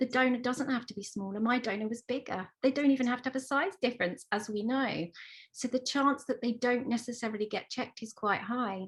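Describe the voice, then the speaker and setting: With a southern English accent, a woman talks at a fairly quick pace in a high pitch with ordinary pitch variation. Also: very clean recording, silent background. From Isle of Wight, England. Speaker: parent of twins, book author. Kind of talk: panel discussion.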